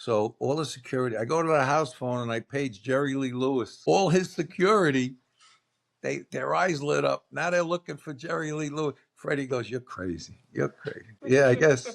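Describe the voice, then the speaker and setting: In a Brooklyn accent, a man speaks with lively intonation on a very clean recording with a silent background. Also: fairly high pitch for a man, moderate pace. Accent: New York (Brooklyn). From New York City (Brooklyn). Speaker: podcast guest. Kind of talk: casual chat.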